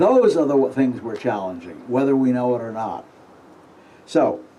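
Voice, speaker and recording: Audible room echo surrounds a man of medium pitch talking at a moderate pace with lively intonation. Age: 70s. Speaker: astrologer giving a conference talk. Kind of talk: conference lecture. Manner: halting, with fillers.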